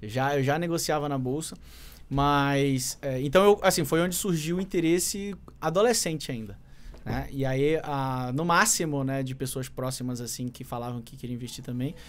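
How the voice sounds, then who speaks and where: A man at a moderate pace, big swings in loudness and ordinary pitch variation. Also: fairly high pitch for a man. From Manaus, Brazil. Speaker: market analyst and trader; market analyst. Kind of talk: casual interview chat. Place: studio. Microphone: studio mic.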